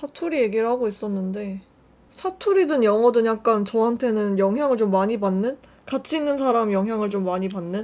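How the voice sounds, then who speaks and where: A woman speaks at a moderate pace and a fairly high pitch, with ordinary pitch variation. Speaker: beauty youtuber. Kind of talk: makeup tutorial chat. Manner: casual, chatty.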